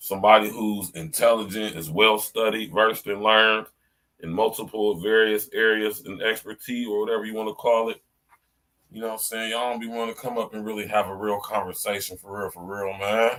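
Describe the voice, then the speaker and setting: Talking at a fairly quick pace, a man has a fairly low pitch, a bright, sharp tone and big swings in loudness. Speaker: podcast host. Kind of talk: solo commentary podcast. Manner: animated.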